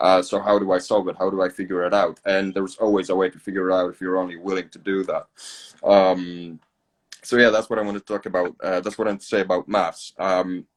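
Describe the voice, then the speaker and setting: A man with a Polish accent speaks very fast in a very deep, low pitch, his intonation monotone and flat, in a dry, close sound with no echo. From Poland. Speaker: podcast host, accountant. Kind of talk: casual podcast interview. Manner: hesitant, many fillers and repeats.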